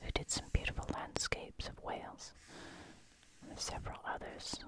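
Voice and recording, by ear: Croaky whispering at a moderate pace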